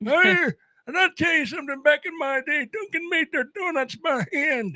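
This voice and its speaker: Someone is doing a put-on character voice. The pace is moderate. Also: man, extremely high pitch for a man. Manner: reminiscing, grumbling.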